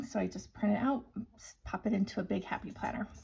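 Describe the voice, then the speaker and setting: A woman speaks with a somewhat breathy, fairly high voice. Her tone is dark and mellow. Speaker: budgeting vlogger. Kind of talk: tutorial. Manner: casual, chatty.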